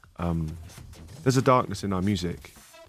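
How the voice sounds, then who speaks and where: A man talks at a very fast pace in a very deep, low voice with ordinary pitch variation. Music plays in the background. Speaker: rock band musician. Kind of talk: interview answer. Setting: radio studio.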